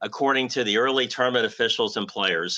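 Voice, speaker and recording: Against a quiet background, a man talks at a medium pitch with a bright, sharp tone. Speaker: golf broadcaster and host. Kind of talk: sports broadcast host banter.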